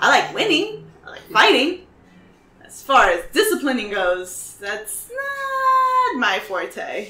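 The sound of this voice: A woman's put-on character voice, high-pitched with very wide pitch swings, a bright, sharp tone and a slow pace, in audible room echo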